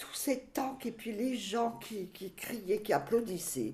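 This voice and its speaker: A woman's voice at a very slow pace. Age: 80s+. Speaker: grandmother recounting memories. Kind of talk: reminiscing interview. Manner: halting.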